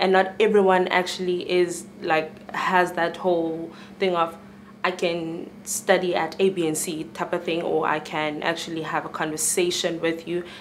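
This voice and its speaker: A woman speaks at a moderate pace in a fairly low, flat monotone, with audible room echo and noticeable background noise. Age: 20s. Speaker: student. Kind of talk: panel discussion.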